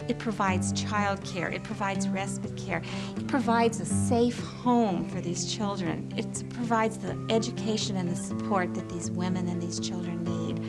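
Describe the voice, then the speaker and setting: Background music plays. A woman talks over it at a moderate pace. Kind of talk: interview answer. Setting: studio.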